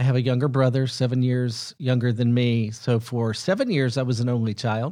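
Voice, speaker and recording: A fairly quick Southern US accent, dark and mellow in tone, with fairly even intonation, very even loudness and a very clean recording over a silent background. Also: man, medium pitch for a man. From US South (Huntsville, Alabama). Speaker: film executive. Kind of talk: casual interview.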